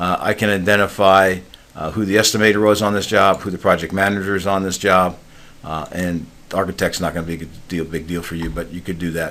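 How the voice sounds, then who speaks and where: A man's very deep, low voice, very fast, bright and sharp in tone, with monotone, flat intonation. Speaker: software consultant. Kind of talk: software demo. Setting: recorded screen-share video. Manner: filler-heavy, casual.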